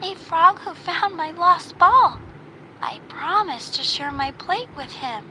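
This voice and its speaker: Using a put-on character voice pitched extremely high, a woman talks at a fairly slow pace over clear background noise. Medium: read story.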